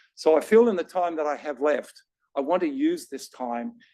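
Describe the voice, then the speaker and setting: Speaking at a moderate pace with an Australian accent, this voice makes very wide pitch swings, recorded with a dry, close sound and no echo. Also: man. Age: 60s. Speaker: patient advocate with lived cancer experience. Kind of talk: panel discussion.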